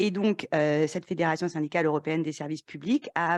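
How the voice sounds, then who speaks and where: A woman talks at a fairly quick pace, her pitch fairly low with ordinary variation. The background is quiet. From France. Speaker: panel moderator. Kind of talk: conference panel moderation. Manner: hesitant, many filler sounds.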